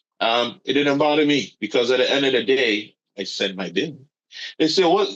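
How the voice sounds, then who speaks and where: With a Caribbean accent, a man speaks at a fairly high pitch and moderate pace with lively intonation. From Caribbean, St. Martin. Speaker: yacht broker. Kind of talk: interview conversation.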